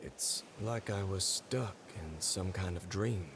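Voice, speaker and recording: A man puts on a character voice with a fairly low pitch, speaking at a fairly slow pace amid clear background noise. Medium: video game. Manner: blunt, swears freely.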